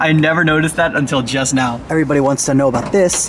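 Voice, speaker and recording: A man speaks over noticeable background noise. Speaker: car reviewer. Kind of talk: casual vlog review. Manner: fast.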